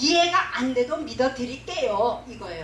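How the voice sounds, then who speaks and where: An animated woman speaking at a fairly slow pace with lively intonation, amid audible room echo and noticeable background noise. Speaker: pastor's wife and preacher. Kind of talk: sermon to pastors.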